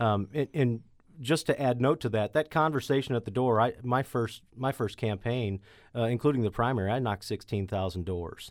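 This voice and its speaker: A man in a Missouri accent, medium in pitch, at a moderate pace with ordinary pitch variation. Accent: Midwestern American (Missouri). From St. Louis County, Missouri. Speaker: state legislator. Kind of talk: interview.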